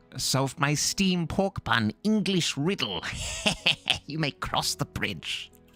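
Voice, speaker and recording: A man puts on a character voice at a fairly high pitch. He speaks at a very slow pace over faint music in the background. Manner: playful, mock-challenging.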